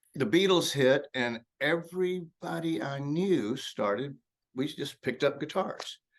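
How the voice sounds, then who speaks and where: The speaker has a Texan accent and a fairly slow pace against a quiet background. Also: man, fairly high pitch for a man. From Texas (Lubbock and Brownwood). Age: 70s. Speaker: blues rock guitarist. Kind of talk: casual interview.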